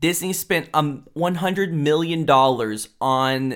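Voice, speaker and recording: A man speaks with an American accent in an unremarkable speaking voice, at a fairly slow pace with ordinary pitch variation. The recording is very clean, with a silent background. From Houston, Texas. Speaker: podcast host. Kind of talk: casual chat.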